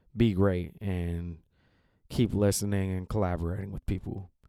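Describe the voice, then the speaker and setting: A man's fairly low, dark, mellow voice with an American accent and fairly even intonation, on a very clean recording with a silent background. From Seattle. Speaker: podcast host and actor. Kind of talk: podcast intro and interview.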